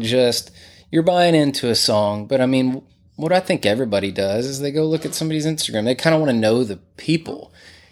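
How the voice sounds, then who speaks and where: On a very clean recording with a silent background, a man with a Texas accent talks at a fairly quick pace, with medium pitch and lively intonation. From Texas, Greenville. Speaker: musician and studio owner. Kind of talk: interview. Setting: his home music room.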